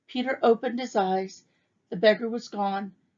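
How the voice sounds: A natural reading voice against a quiet background.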